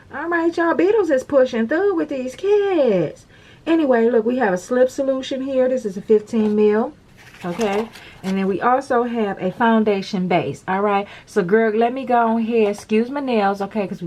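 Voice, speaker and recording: With lively intonation and a fairly high pitch, a woman talks at a moderate pace. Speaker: nail tutorial creator. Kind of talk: tutorial. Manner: animated.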